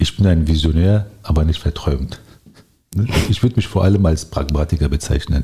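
A man with a very deep, low voice speaks at a moderate pace, leaving long, frequent pauses. His pitch varies in an ordinary way and his loudness stays very even. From Berlin, Germany. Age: 40s. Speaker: local politician. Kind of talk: interview.

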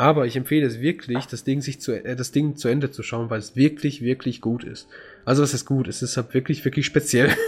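A somewhat breathy male voice, medium in pitch, flat and monotone, at a fairly quick pace. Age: 20s. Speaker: podcast host. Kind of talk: casual chat. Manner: frequent laughter.

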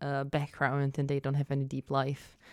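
On a very clean recording with a silent background, a woman speaks at a moderate pace with a very deep, low pitch and a Czech accent. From Czech Republic. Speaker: events and arts worker. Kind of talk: casual chat.

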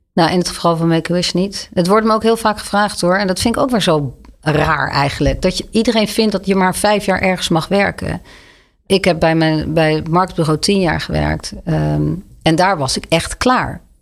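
A woman with an unremarkable speaking voice, fairly low in pitch, ordinary pitch variation, at a moderate pace. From Netherlands, Leiden. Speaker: charity director. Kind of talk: interview conversation.

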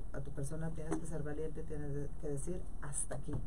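The recording has audible room echo and noticeable background noise. A woman speaks at a fairly quick pace. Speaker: politician. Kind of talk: radio interview.

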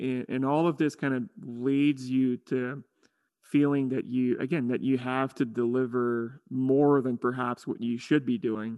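In an ordinary speaking voice, a man talks at a fairly slow pace with medium pitch and fairly even intonation. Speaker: university professor. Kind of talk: interview. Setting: recording from home.

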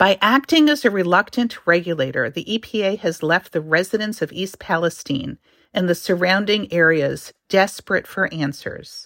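In a very clean recording with a silent background and a dry, close sound with no echo, a woman with a normal speaking voice talks at a moderate pace with lively intonation. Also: medium pitch for a woman. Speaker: commentator. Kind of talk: radio commentary.

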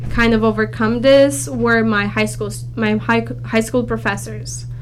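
A woman speaks in a room with audible echo. Noticeable background noise is present too. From Romania (Bucharest), moved to California at 16. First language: Romanian. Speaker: accounting student. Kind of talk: interview.

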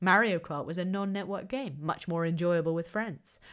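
A woman with a southern English accent speaks at a fairly quick pace on a very clean recording with a silent background. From southern England, Kent. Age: 30s. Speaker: podcast host, academic researcher. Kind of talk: lecture-style monologue.

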